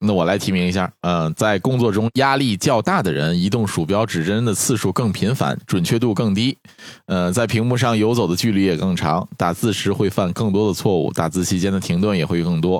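Talking at a fairly quick pace, a man uses a normal speaking voice with fairly low pitch, ordinary pitch variation and very even loudness. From Northeast China. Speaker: doctor. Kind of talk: casual chat.

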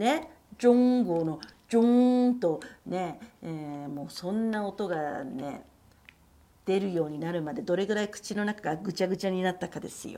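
Lively intonation marks a woman's dark, mellow tone at medium pitch and a moderate pace. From Japan. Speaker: Japanese language teacher, podcast co-host. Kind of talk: casual chat.

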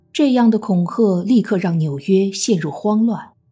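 A woman talks fairly slowly, her intonation lively, while music plays in the background. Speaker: true crime podcast narrator. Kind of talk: true-crime narration, scripted storytelling. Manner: grave, measured, steady, suspenseful; formal, even, newsreader-like.

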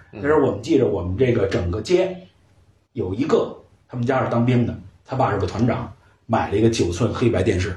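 A man with a Beijing accent talks at a fairly quick pace in a medium pitch, with lively intonation and long, frequent pauses. His tone is dark and mellow, somewhat breathy, and the room echo is audible. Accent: Beijing Mandarin, erhua-heavy. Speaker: photo lab owner and storyteller. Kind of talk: casual chat. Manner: animated.

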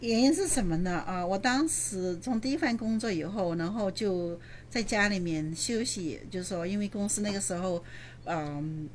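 There is audible room echo around this woman's voice. She speaks at medium pitch with lively intonation and a moderate pace. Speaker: real estate investor and landlord. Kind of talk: interview.

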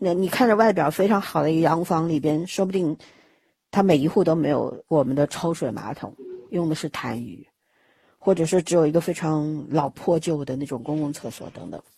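A woman speaks at a very deep, low pitch with a dark, mellow tone and ordinary pitch variation. Her pace is moderate, and her loudness swings widely. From Shanghai. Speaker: podcast host. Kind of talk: casual chat. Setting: remote recording.

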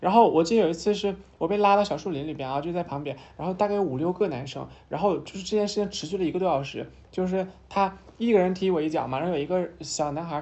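Speaking at a very fast pace, a woman keeps a fairly low pitch with ordinary variation. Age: 20s. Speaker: transgender woman sharing her life story. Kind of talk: casual chat. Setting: office meeting room, candlelit, with wine.

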